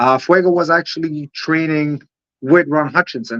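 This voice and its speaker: A man with an Israeli accent talks at a moderate pace in a bright, sharp tone with fairly even intonation. The sound is dry and close with no echo, over a quiet background. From Israel, Holon near Tel Aviv. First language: Hebrew. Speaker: professional wrestler. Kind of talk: interview. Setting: livestream. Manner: halting, many fillers.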